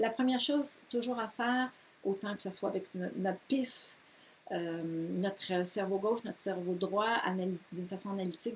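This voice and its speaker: A somewhat breathy woman with a Quebec accent, medium in pitch, at a moderate pace, with ordinary pitch variation. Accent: Québécois French. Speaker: yoga teacher. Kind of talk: course presentation. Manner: enthusiastic; hesitant, many fillers.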